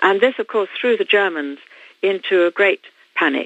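A woman speaks with a British accent at a medium pitch. Her intonation is lively. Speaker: author. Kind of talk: interview. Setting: phone call.

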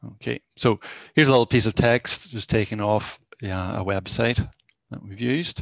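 A man speaks in an ordinary speaking voice at a moderate pace, with a fairly low pitch, ordinary pitch variation and big swings in loudness. The background is quiet and the sound is dry with no echo. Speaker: college tech-enhanced learning mentor presenter; presenter. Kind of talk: live software demo presentation. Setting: video call with screen share. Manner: informal, conversational. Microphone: headset.

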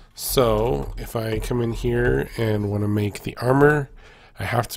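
The man's voice is somewhat breathy and medium in pitch. His pitch varies in an ordinary way. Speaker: gaming YouTuber. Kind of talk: casual gameplay commentary. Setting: recorded gameplay voiceover. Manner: casual, enthusiastic, with filler words.

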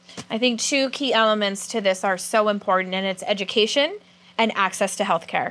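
A woman speaks fairly quickly in a bright, sharp tone, her pitch fairly high. She has an American accent and ordinary pitch variation. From California. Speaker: student TV show host. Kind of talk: interview; interview questions. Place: studio. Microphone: lapel.

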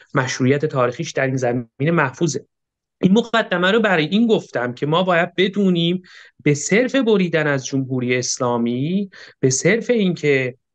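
Against a quiet background, a man speaks in a fairly high pitch with lively intonation. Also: moderate pace. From Iran. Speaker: political analyst and history researcher; political analyst. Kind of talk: political debate. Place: home room. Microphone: webcam.

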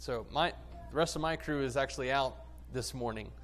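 Light background noise is present. A man does the talking. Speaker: preacher. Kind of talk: sermon. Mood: warm, humorous storytelling. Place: church.

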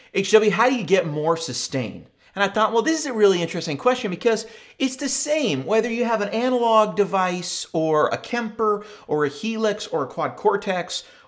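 A man talks at a moderate pace with lively intonation. The background is quiet. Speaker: guitar gear channel host. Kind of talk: tutorial. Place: studio.

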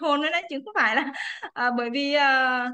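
Over a quiet background, a woman uses a raised, projected voice with a bright, sharp tone, ordinary pitch variation and a moderate pace. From Quảng Trị, central Vietnam; Vietnam. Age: 30s. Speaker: businesswoman. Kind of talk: testimony. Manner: halting. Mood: cheerful, smiling. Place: home room. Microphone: video call.

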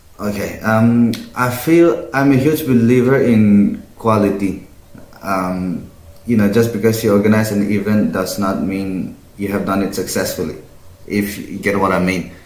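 A man with a fairly low voice speaks at a fairly slow pace, his pitch varying in an ordinary way, with audible room echo around him. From Northeast India. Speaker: pageant winner. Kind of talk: casual interview. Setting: video call. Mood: calm, friendly. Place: home room.

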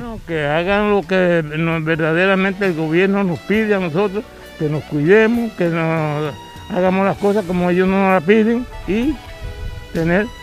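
A man's high-pitched voice at a fairly slow pace with ordinary pitch variation, dry with no echo, over faint music in the background. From Cuba, Santiago de Cuba province. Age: 80s+. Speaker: farmer. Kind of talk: interview answer. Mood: proud, earnest. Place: garden. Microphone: handheld.

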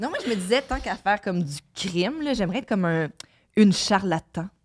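This speaker has a Quebec accent. The intonation is lively. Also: woman. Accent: Québécois French. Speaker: podcast co-host. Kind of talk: casual chat. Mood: amused, storytelling. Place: studio.

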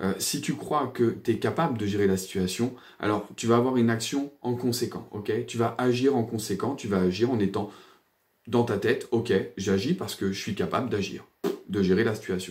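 A man talks at a moderate pace with ordinary pitch variation over a quiet background. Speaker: personal development coach and energy therapist; therapist or coach. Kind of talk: casual video monologue. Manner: hesitant, many fillers; animated. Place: home room. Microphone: phone near.

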